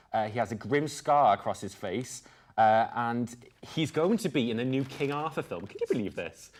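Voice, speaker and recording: A man has a normal speaking voice at a medium pitch. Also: ordinary pitch variation, moderate pace. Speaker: student news presenter. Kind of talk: mock news show banter.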